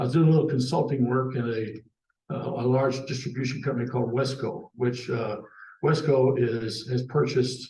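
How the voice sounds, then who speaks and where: Somewhat breathy and dark, mellow in tone, a man speaks at a moderate pace amid audible room echo. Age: 70s. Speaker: cable industry veteran and mentor. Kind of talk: panel discussion, career storytelling. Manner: casual, hesitant with many fillers.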